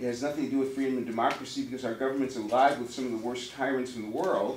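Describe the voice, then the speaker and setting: Audible room echo surrounds a man speaking at medium pitch. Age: 60s. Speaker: audience member at a town hall. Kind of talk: public comment at a town hall meeting. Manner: animated.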